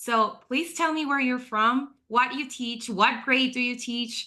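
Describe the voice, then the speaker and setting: A woman's bright, sharp voice moves with ordinary pitch variation. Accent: Spanish. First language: Spanish. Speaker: online event host, former teacher. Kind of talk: live webinar hosting. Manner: animated.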